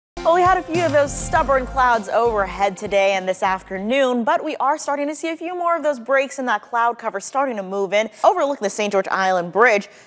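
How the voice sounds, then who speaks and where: A high-pitched woman at a fairly quick pace, with very wide pitch swings and hardly any pauses, over music in the background. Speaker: TV meteorologist. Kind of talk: TV weather and severe storm coverage.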